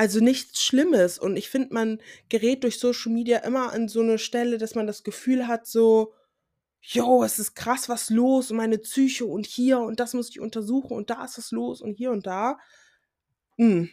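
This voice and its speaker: This voice has a dark, mellow tone, heard in a very clean recording with a silent background. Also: woman. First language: English (Pidgin at home) (speaking German). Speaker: podcaster, student. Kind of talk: solo podcast monologue. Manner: casual with English interjections.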